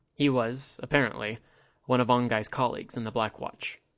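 Fairly even intonation in a reading voice that sounds unforced

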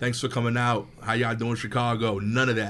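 The speaker talks at a fairly quick pace with a New York accent. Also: man. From East New York, Brooklyn. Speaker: stand-up comedian. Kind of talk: casual chat.

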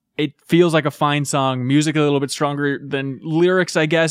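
A man with a plain, everyday voice talks at a fairly quick pace and fairly high pitch, his intonation fairly even, in a dry, close recording with no echo. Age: 20s. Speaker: podcast host, music discussion. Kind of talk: casual chat. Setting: studio.

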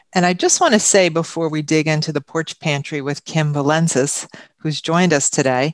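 A woman with a New York accent speaks at a moderate pace in a fairly low pitch for a woman, her intonation fairly even, with a dry, close sound, no echo and a quiet background. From Long Island, New York. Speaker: radio host. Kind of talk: radio interview. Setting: radio studio.

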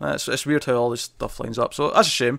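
A man talks at a medium pitch with fairly even intonation. The recording is very clean and the background silent. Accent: Scottish. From Scotland. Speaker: podcast host. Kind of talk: casual chat.

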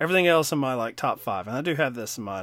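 A man speaks with a slight Kentucky accent, his pitch swinging very widely. The recording is very clean, the background silent. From Kentucky, US. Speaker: film podcast co-host. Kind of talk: casual chat.

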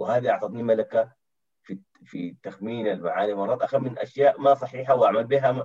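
A man talks at a moderate pace, with big swings in loudness. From Sudan, Khartoum. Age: 40s. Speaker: university lecturer in international relations. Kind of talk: casual interview.

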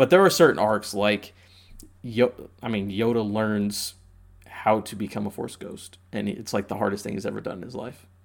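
Using a normal speaking voice with an American accent, a man speaks at a moderate pace and a fairly low pitch, his intonation fairly even but his loudness swinging widely. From Indiana (Indianapolis). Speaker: postal worker. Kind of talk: casual chat.

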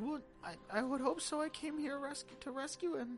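With clear music in the background, a female-sounding put-on character voice speaks at a moderate pace and high pitch. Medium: actual play.

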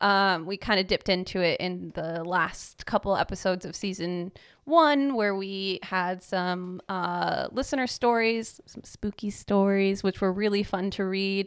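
Very clean recording of a woman at a medium pitch with ordinary pitch variation, against a silent background. She speaks at a fairly slow pace with hardly any pauses. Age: 30s. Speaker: podcast co-host. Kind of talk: casual chat. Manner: animated.

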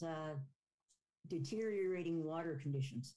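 This woman has a Canadian accent and a fairly low pitch. Her tone is dark and mellow. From Ontario, Canada. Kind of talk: interview.

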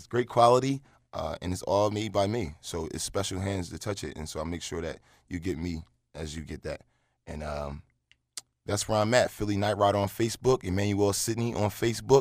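A man with a fairly low pitch talks at a fairly quick pace in an ordinary speaking voice, with ordinary pitch variation and big swings in loudness. The recording is very clean, with a silent background. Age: 20s. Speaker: entrepreneur and adult entertainer. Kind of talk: casual interview.

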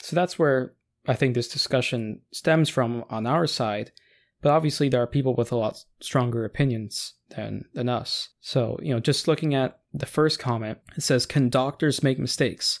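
With an American accent, a man speaks in an ordinary speaking voice at a medium pitch and moderate pace. His pitch varies normally, and the recording is very clean with a silent background. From United States. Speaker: podcast co-host. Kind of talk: casual chat.

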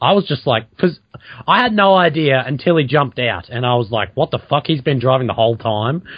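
In a normal speaking voice, a man with medium pitch talks at a fairly quick pace with lively intonation. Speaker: podcast host. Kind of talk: casual banter.

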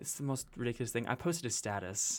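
On a very clean recording with a silent background, a man with a slight Carolina accent speaks at medium pitch in a bright, sharp tone. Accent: slight Carolina touch. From Carolinas, US South (raised partly in Utah). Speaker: musical theater performer. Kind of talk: casual chat.

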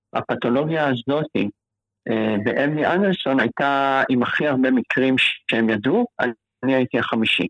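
A man with an unremarkable speaking voice talks at a moderate pace and very even loudness, with ordinary pitch variation. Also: medium pitch for a man. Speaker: cancer patient. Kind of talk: interview.

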